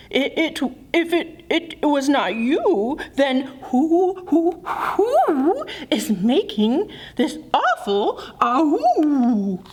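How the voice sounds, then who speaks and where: A put-on character voice speaks at a high pitch and a very slow pace. Light background noise runs underneath. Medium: read story.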